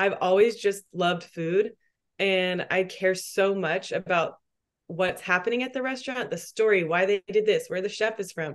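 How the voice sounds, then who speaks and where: In an American accent, a woman with an ordinary speaking voice talks at a moderate pace, her medium pitch showing ordinary variation. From Texas. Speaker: PR and marketing specialist. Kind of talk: casual interview chat.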